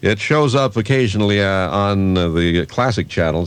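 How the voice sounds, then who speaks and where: Over noticeable background noise, a man speaks in a very deep, low pitch with very wide pitch swings. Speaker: radio announcer, AM station disc jockey. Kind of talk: radio show host introducing oldies music. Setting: radio broadcast, aircheck recording from 1991. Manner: casual, conversational, relaxed.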